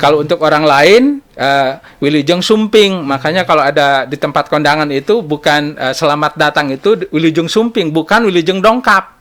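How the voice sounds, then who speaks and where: At a moderate pace, a man with a fairly high pitch talks using ordinary pitch variation. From Banten, Indonesia (Bayah, Sundanese village). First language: Sundanese (speaking Indonesian). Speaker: government language office head. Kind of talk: talk show interview. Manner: hesitant, many fillers.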